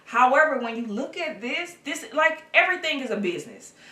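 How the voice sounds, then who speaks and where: A woman speaks at a moderate pace. Audible room echo and noticeable background noise accompany her. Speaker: documentary series creator and director. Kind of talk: interview. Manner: loud; casual.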